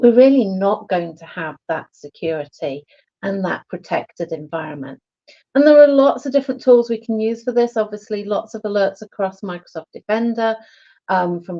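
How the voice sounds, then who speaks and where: Here is an unremarkable speaking voice at a moderate pace. The intonation is lively, and the loudness swings widely. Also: woman. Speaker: IT security panelist. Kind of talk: short pitch presentation.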